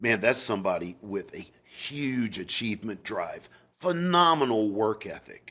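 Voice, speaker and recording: A man with a Southern US accent and very wide pitch swings. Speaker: sales psychology expert. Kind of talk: interview.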